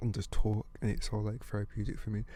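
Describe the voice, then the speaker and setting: Very fast and monotone, a man with a British accent speaks in a fairly low, somewhat breathy voice with a dark, mellow tone and flat intonation. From UK, African heritage. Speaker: podcast host and musician. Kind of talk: casual monologue. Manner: casual, hesitant.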